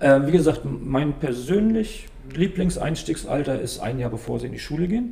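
Noticeable background noise sits behind a man speaking at a moderate pace. His pitch is fairly high. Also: lively intonation. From northern Germany (Stralsund, Western Pomerania). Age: 40s. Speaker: table tennis coach. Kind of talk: casual interview.

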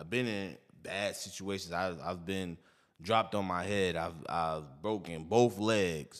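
At a fairly slow pace, a man speaks in a very deep, low pitch. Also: ordinary pitch variation. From New York. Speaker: podcast co-host. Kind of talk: casual chat.

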